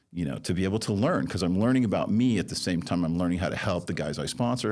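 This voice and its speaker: Very fast, lively speech with vocal fry. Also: man. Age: 60s. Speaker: recovery sponsor and community leader. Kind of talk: podcast interview, personal testimony. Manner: hesitant, many fillers and restarts.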